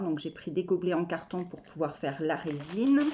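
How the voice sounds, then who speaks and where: Fairly low pitch from a woman. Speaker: craft vlogger. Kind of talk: casual haul video. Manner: halting, stammering.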